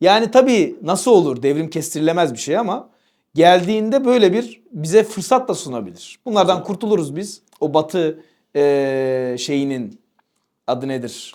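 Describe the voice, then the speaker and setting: A man speaks fairly slowly in a high voice, his pitch swinging very widely. The recording is very clean, with a silent background. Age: 30s. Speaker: religious teacher and channel host. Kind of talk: casual discussion. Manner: hesitant with many fillers.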